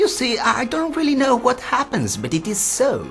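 A man speaks at a moderate pace with clear music playing behind him. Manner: puzzled, chatty.

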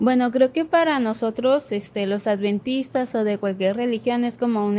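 A woman talks at a moderate pace. Her pitch is fairly high, with ordinary variation. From Culiacán, Sinaloa, Mexico; Sinaloa, Mexico. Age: 20s. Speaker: graphic design student; guest. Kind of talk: casual faith discussion. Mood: calm, reflective. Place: studio. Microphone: studio mic.

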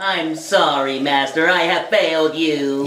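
In a cartoonish character voice at a middle pitch, the speaker talks at a fairly slow pace over clear background noise. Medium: puppet show. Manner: flat, mechanical, obedient.

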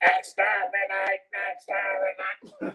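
A female-sounding, put-on character voice sits at a medium pitch for a woman. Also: moderate pace. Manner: commanding. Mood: playful joking.

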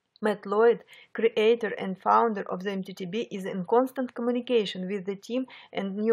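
With a Russian accent, a woman speaks at a moderate pace using fairly even intonation. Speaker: online marketing beginner vlogger. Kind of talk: personal testimony narration. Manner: halting.

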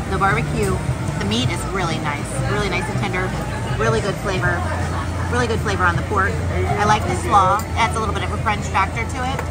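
Against loud music in the background, a woman talks at a fairly quick pace. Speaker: food vlogger. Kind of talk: casual food review vlog. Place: cafe. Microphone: phone near.

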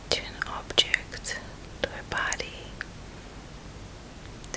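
Over noticeable background noise, a woman speaks at a very slow pace. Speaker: spiritual healer and meditation guide. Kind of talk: ASMR guided healing meditation. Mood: tender, meditative. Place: home room. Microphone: studio mic.

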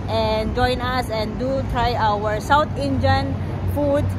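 There is loud background noise behind a woman speaking at a fairly slow pace. The sound is dry, with no echo. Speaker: food vlogger. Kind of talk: casual vlog chat. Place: street. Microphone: phone near.

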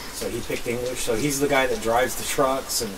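There is noticeable background noise. A man talks over it at a moderate pace. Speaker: homesteading vlogger. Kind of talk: casual vlog chat. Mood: proud, pleased. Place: open country. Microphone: camera far.

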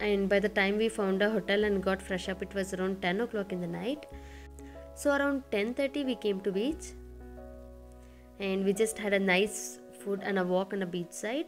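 The speaker talks at a moderate pace with ordinary pitch variation and long, frequent pauses, with music playing in the background. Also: woman. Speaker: travel vlogger narrator. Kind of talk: travel vlog narration.

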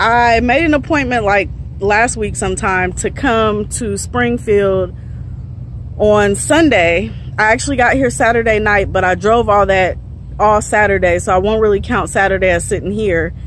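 A woman speaks at a moderate pace with lively intonation, the sound dry with no echo over light background noise. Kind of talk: casual vlog chat. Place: street. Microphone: phone near.

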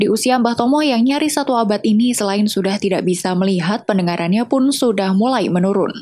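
Speaking at a fairly quick pace, a woman uses lively intonation and a dark, mellow tone. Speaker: news reporter. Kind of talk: scripted news narration.

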